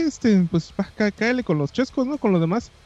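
A man with a Mexican accent, amid noticeable background noise. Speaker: podcast co-host. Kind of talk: casual chat.

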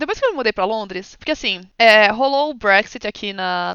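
Using an ordinary speaking voice, a woman talks at medium pitch with lively intonation. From Brazil, São Paulo. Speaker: streamer and ASMR artist. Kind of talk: casual chat.

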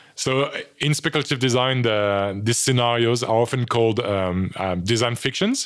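A man with a French accent talks at a fairly quick pace in a medium pitch. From France. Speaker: design lecturer. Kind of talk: interview. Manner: halting.

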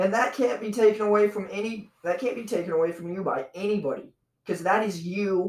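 A loud, high-pitched male voice, animated and fairly quick, with ordinary pitch variation. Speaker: comedy podcast host. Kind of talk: casual chat. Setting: home studio.

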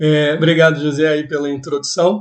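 The speaker is a man whose voice has a fairly high pitch. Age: 40. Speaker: podcast host. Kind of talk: casual interview.

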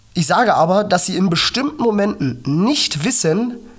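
Over noticeable background noise, a woman talks fairly slowly at a medium pitch with very wide pitch swings. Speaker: podcast host, cystic fibrosis patient. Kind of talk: motivational monologue.

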